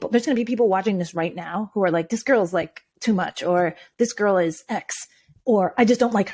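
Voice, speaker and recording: Speaking at a fairly quick pace, a woman with medium pitch uses an animated tone. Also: ordinary pitch variation. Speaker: video coach for entrepreneurs. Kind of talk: interview conversation. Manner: laughs a lot.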